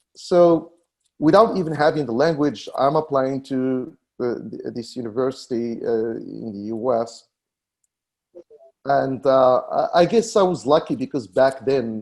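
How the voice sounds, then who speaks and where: The speaker has a North African accent and keeps a moderate pace. Pitch variation is ordinary. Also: man. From Morocco. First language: Berber. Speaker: tech company founder. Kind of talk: interview. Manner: halting, many fillers and repetitions.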